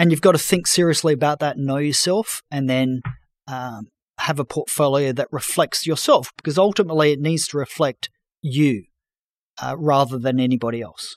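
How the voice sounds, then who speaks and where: With an Australian accent, a man talks at a moderate pace in a fairly high voice. Pitch varies in an ordinary way, and the sound is dry and close with no echo. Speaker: financial journalist and former fund manager. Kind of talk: interview.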